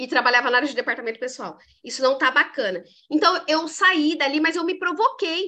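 A woman with a high pitch and a bright, sharp tone speaks at a fairly quick pace in a raised, projected voice, her tone animated and her intonation lively. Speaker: leadership coach and mentor. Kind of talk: casual interview chat.

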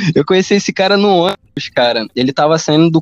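A man with a high pitch, ordinary pitch variation and a fairly quick pace, in a dry, close sound with no echo. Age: 20s. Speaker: podcast host. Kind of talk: casual chat. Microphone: poor internet connection.

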